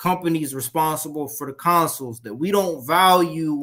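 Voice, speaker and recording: In a very clean recording with a silent background, a man with an ordinary speaking voice talks at a fairly slow pace and a fairly high pitch. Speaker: gaming show co-host. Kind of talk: casual chat.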